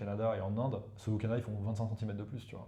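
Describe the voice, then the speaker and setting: In a room with audible echo, a man talks very fast in a fairly low, somewhat breathy voice with a dark, mellow tone and flat, monotone intonation. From northern India, eastern Uttar Pradesh. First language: Hindi (speaking French). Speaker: professor of economic warfare. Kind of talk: casual interview chat. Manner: hesitant, many fillers.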